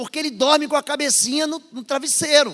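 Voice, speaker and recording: Animated in tone, a man with a northern Brazilian accent speaks at an extremely high pitch. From northern/northeastern Brazil. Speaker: pastor. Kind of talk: sermon. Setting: church service with congregation.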